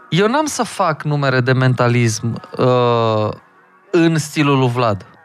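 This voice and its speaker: Over music in the background, a man speaks at a very slow pace with lively intonation. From Hunedoara, Romania. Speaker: magician. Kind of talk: casual chat.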